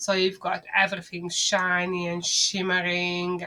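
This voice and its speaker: A woman's fairly low, monotone voice in a Hungarian accent, flat in intonation and very slow in pace. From Hungary. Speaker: marketing agency owner. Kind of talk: business talk to camera.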